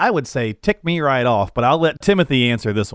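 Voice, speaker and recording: With a normal speaking voice and lively intonation, a man talks in a dry, close sound with no echo. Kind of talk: radio pitchman call-to-action. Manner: brisk, upbeat, salesy; repeats the phone number in a sing-song patter.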